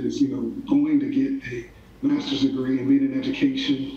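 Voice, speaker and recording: A man with an American accent at a fairly quick pace, with audible room echo. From Oklahoma City area, US; Oklahoma. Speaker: college dean; interviewee. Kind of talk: interview.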